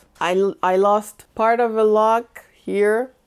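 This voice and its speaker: A woman speaks with a French Canadian accent. The recording is very clean, with a silent background. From Montreal, Canada. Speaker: hair care vlogger. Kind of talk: casual vlog Q&A.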